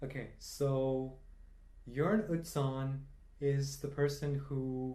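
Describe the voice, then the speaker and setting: A man with a fairly high pitch speaks in a somewhat breathy, dark and mellow tone, with audible room echo. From India (Tamil-speaking). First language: Tamil. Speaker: quiz enthusiast. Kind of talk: casual chat.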